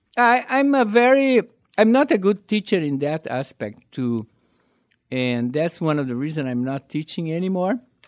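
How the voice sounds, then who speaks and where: This man, with a Brazilian accent, has a fairly high pitch that makes very wide swings, recorded with a dry, close sound and no echo. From southern Brazil. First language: Portuguese. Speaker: amateur stand-up comedian. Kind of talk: casual interview.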